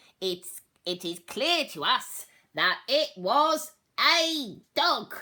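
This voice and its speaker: A put-on character voice, female-sounding and high-pitched, with very wide pitch swings at a very slow pace. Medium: read story. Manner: buzzing.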